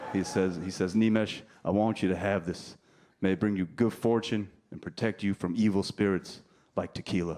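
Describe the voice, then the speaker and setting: A man with a New Jersey accent, fairly low in pitch, dark and mellow in tone, with fairly even intonation at a moderate pace. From New Jersey, US. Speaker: stand-up comedian. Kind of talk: stand-up. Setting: stage with audience.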